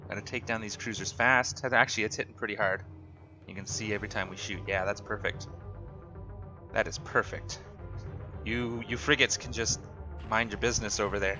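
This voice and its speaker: A man's fairly low voice at a fairly quick pace, ordinary pitch variation and long, frequent pauses, with music in the background. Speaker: gaming YouTuber. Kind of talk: gameplay commentary. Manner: casual, upbeat.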